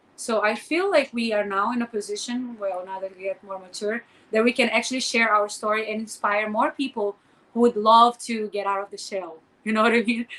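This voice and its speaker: The speaker has a Portuguese accent and moves at a fairly quick pace with ordinary pitch variation. Noticeable background noise runs behind the voice. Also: woman, fairly high pitch for a woman. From Brazil. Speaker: podcast co-host, former model and entrepreneur. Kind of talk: casual chat.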